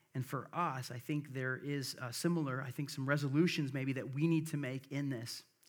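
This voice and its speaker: In a very clean recording with a silent background, a man with a fairly high pitch speaks at a moderate pace with fairly even intonation. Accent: American. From US Midwest. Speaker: pastor. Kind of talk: sermon. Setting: church. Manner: casual, hesitant with many filler words.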